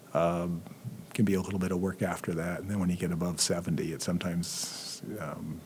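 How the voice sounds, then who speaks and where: This man has a very deep, low pitch and talks at a fairly quick pace with monotone, flat intonation. Audible room echo surrounds his voice. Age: 60s. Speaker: history professor. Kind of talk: casual interview. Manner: hesitant, many fillers.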